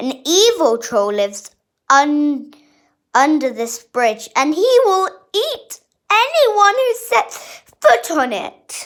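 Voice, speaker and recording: In a put-on character voice, a woman speaks high and very slowly, with very wide pitch swings and long, frequent pauses. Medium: read story. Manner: jolly.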